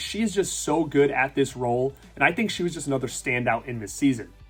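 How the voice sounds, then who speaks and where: Music plays behind a man with a Rhode Island accent. His intonation is lively. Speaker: YouTube reviewer. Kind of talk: casual talk to camera.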